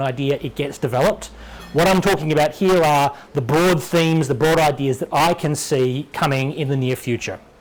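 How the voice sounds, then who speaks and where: A man with an Australian accent speaks fairly quickly at a fairly high pitch with ordinary pitch variation, over noticeable background noise. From Western Australia. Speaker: software developer giving a conference talk. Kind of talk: tech talk. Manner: fast when excited.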